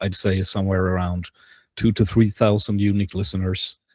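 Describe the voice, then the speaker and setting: A man's dark, mellow, fairly low voice, dry and close with no echo, in a very clean recording with a silent background. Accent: Swedish. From Sweden, Gothenburg. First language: Swedish. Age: 40s. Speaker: podcaster and game designer. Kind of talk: presentation. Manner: halting, many fillers.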